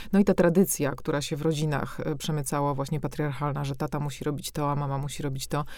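Talking at a very fast pace with hardly any pauses, a woman uses a very deep, low pitch and fairly even intonation. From Warsaw, Poland. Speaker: novelist. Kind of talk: interview conversation.

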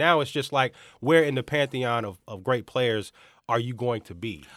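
A man with an ordinary speaking voice talks at a fairly quick pace, his pitch medium. His pitch varies in an ordinary way, and the recording is very clean with a silent background. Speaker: sports podcast co-host. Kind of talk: casual banter.

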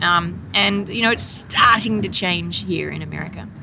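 A woman speaks with an Australian accent. There is noticeable background noise. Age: 40s. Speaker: fishmonger and business owner. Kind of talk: casual chat. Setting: outdoors.

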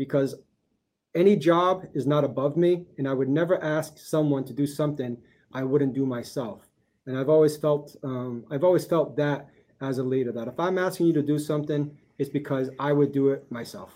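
Using an unremarkable speaking voice, a man talks at a fairly high pitch and a moderate pace with fairly even intonation. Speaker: educator. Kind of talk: podcast interview.

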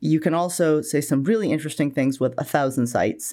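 On a very clean recording with a silent background, a woman with an American accent talks at a very fast pace, her dark, mellow tone marked by vocal fry. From US Northeast, Maine (Bangor). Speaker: archaeology professor. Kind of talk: interview.

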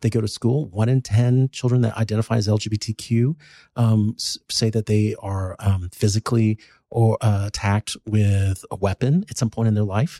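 On a very clean recording with a silent background, a dark, mellow, somewhat breathy voice with an American accent speaks at a moderate pace with fairly even intonation. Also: man, fairly low pitch for a man, dry, close sound with no echo. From North Texas. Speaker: pediatrician. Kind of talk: interview.

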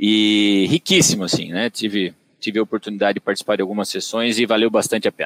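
A man in a São Paulo interior accent at a very fast pace, fairly low in pitch, with fairly even intonation and a dry, close sound with no echo. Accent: caipira (São Paulo interior). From Brazil, Tatuí (São Paulo interior). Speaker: agronomist and digital business director. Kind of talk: podcast interview. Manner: hesitant, many fillers.

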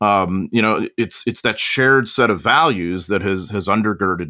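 With an American accent, the speaker has a bright, sharp tone. Delivery is at a moderate pace with lively intonation. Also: man. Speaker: military historian. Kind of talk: casual discussion.

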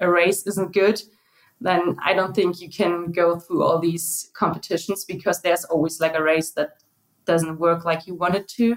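A woman speaks with a German accent. Her pitch is medium and her pace moderate. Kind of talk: interview.

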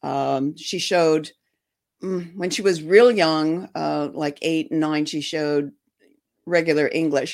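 With a Michigan accent, the speaker talks at a fairly slow pace with ordinary pitch variation in a very clean recording over a silent background. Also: woman, very deep, low pitch for a woman. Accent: US Midwest (Michigan). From Detroit, Michigan. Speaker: former sheriff's posse volunteer and horse owner. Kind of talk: interview. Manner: halting, many fillers.

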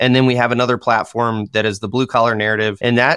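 A man with a Michigan accent. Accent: US Midwest (Michigan). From Michigan, US. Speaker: dirt contractor and construction content creator. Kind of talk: casual interview chat.

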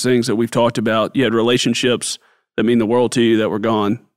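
At a very fast pace, a man talks at a medium pitch in a very clean recording with a silent background. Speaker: podcast host. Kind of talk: interview.

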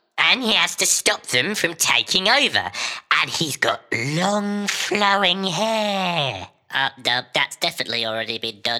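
Someone does a put-on character voice at a middle pitch, swinging very widely up and down while talking at a fairly slow pace. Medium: audio drama.

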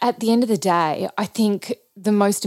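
A woman with an Australian accent, very slow pace and fairly even intonation, in a dry, close sound with no echo. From Australia, regional Victoria. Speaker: ballet choreographer. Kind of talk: interview.

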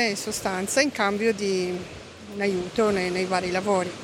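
A woman is heard over noticeable background noise. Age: 50s. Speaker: expat interviewee. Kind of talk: interview, personal story. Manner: halting.

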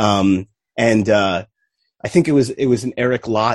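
The sound is dry and close, with no echo. A man talks in an unremarkable speaking voice. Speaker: podcast guest, music fan. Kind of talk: casual chat.

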